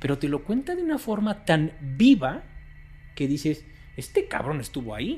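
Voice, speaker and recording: Speaking at a moderate pace with a Mexican accent, a man uses a fairly high pitch that makes very wide swings. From Mexico. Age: 40s. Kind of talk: interview.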